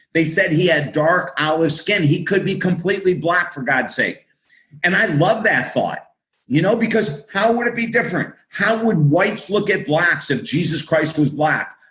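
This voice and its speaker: In a high pitch with an American accent, a man speaks at a moderate pace in a bright, sharp, animated tone with ordinary pitch variation. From US Northeast (Syracuse, New York). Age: 60s. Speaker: author and minister. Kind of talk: podcast interview.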